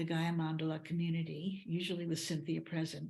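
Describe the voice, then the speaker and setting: A woman talks at a moderate pace with a fairly low, somewhat breathy voice. Her intonation stays monotone and flat. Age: 80s+. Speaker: ceremony organizer. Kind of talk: presentation to a group. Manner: halting.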